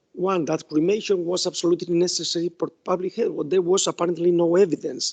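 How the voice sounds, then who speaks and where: A man with a Spanish accent talks at a fairly quick pace and a high pitch. The sound is dry and close, with no echo. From Spain. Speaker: law professor. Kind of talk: academic talk. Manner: halting.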